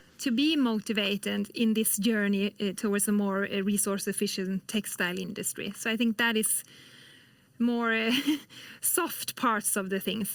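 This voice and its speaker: A woman in a Swedish accent, medium pitch, fairly even intonation and moderate pace. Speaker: industrial policy specialist. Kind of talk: interview. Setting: remote studio.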